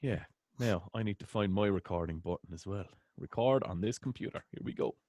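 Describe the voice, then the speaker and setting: In an Irish accent, a man with a dark, mellow tone and fairly low pitch speaks with ordinary pitch variation, the sound dry and close with no echo against a quiet background. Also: fairly quick pace. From Ireland. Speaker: interviewer. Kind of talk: interview. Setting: call.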